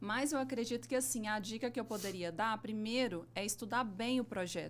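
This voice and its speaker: This woman's fairly high voice carries vocal fry, ordinary pitch variation and a moderate pace. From Minas Gerais, Brazil (Belo Horizonte). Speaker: civil engineer, business owner. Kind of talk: podcast interview.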